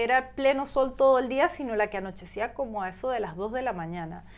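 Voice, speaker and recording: The woman's voice is high in pitch. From Venezuela, San Cristóbal. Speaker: professional model. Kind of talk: interview. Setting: in person, Hamburg.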